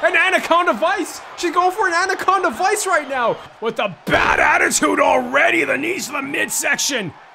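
A man's extremely high-pitched shouting, lively intonation, a moderate pace with hardly any pauses, and noticeable background noise. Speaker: wrestling commentator. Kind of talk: wrestling commentary. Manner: excitable.

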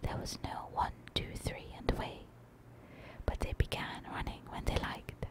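Someone is whispering at a moderate pace. Noticeable background noise is present. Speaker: ASMR creator. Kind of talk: bedtime story reading. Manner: soft-spoken.

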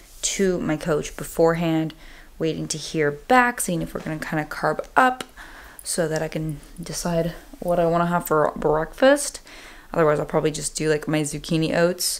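A moderate pace from a woman with a fairly low pitch. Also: ordinary pitch variation. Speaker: fitness vlogger. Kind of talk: casual vlog chat. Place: home room. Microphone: phone near.

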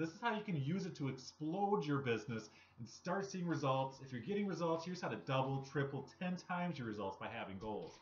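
This man speaks very fast. The pitch of his voice rises and falls over a very wide range. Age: 30s. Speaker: network marketing vlogger. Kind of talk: motivational talk to camera. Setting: home recording. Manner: casual, conversational. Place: home room. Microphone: webcam.

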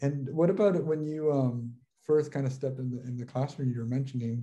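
A man with an American accent speaks at a fairly quick pace, somewhat breathy. His tone is dark and mellow, his intonation fairly even. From Los Angeles, US. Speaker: social work professor and consultant; social work professor. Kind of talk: interview conversation. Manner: halting, many fillers and repetitions. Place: home room. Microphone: video call.

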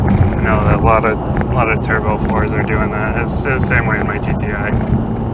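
A man's voice sounds dry with no echo, set against loud background noise. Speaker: car reviewer driving. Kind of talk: commentary. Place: car.

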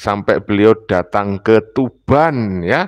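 A man speaks against a quiet background. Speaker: religious commentator. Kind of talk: commentary. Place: home room. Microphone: lapel.

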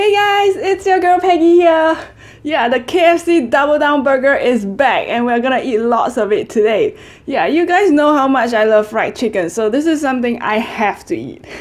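A woman with a high pitch talks at a moderate pace. Her intonation is lively. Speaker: eating show host. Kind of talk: casual vlog chat. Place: home room.

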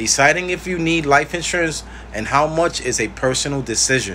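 With light background noise, a man speaks at a moderate pace and ordinary pitch variation. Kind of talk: informational talk to camera. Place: home room. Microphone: phone near.

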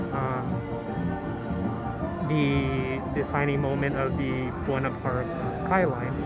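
Loud music plays behind a man's voice. He speaks at a very slow pace. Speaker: park vlogger. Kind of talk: casual vlog commentary. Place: street. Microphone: phone near.

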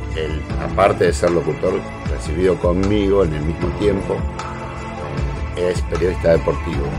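With clear music in the background, a man talks at a moderate pace, leaving long, frequent pauses. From Argentina. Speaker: national broadcaster and radio host, sports. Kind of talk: casual talk to camera, self-introduction. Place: home room. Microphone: webcam.

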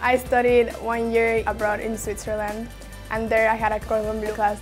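With music in the background, a woman speaks at a moderate pace in a fairly high pitch, her intonation monotone and flat. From Mexico. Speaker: pastry student. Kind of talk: interview answer.

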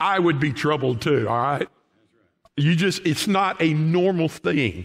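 With a Southern US accent, a man talks at a moderate pace and ordinary pitch variation. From Oklahoma. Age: 60s. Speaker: pastor. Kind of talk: sermon. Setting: church. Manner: folksy. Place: church.

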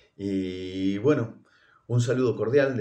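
Speaking at a fairly slow pace, a man uses a fairly low pitch and a dark, mellow tone. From Argentina. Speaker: clinical laboratory professional. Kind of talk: recorded greeting message. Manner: halting, many fillers. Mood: warm, congratulatory. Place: home room. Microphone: phone near.

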